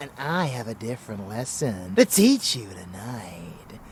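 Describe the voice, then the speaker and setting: A man does a put-on character voice over clear background noise. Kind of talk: ASMR dark romance roleplay. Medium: audio drama. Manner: seductive, teasing, amused.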